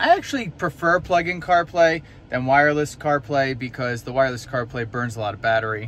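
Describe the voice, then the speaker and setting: Speaking at a fairly quick pace with ordinary pitch variation, a man is heard in a dry sound with no echo over light background noise. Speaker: EV vlogger. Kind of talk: casual vlog chat. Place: car. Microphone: phone near.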